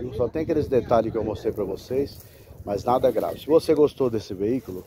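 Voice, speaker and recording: The speech comes at a fairly quick pace over noticeable background noise. The sound is dry, with no echo. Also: man. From Brazil. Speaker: car broker selling used vehicles. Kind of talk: street seller pitchman, sales pitch walk-around video. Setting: outdoors at car lot, filming vehicle. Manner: fast, chatty, upbeat patter, hyping the deal, reassuring casual asides. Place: open country. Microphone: phone near.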